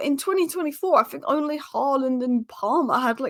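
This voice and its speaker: Talking very fast, a woman sounds animated at a high pitch. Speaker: football YouTuber. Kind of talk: casual commentary vlog.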